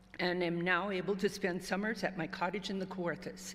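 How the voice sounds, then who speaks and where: A woman with a plain, everyday voice talks at a fairly quick pace in a medium pitch. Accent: Canadian. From Northern Ontario. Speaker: retired club member. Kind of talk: reading aloud.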